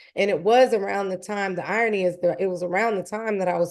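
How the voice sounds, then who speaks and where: A woman's plain, everyday voice, medium in pitch, with ordinary pitch variation. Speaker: songwriter and music artist. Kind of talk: live online talk and Q&A.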